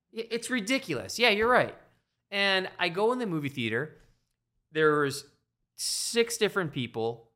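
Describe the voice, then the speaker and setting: In a very clean recording with a silent background, a man with a high pitch and a bright, sharp tone uses a raised, projected voice with very wide pitch swings, a moderate pace and long, frequent pauses. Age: 30s. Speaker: podcast co-host. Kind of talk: casual chat.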